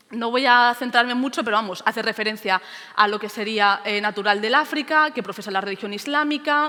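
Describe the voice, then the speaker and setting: Noticeable background noise behind a fairly quick woman's voice, fairly high in pitch and ordinary in pitch movement. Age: 20s. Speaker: teacher. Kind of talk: conference talk.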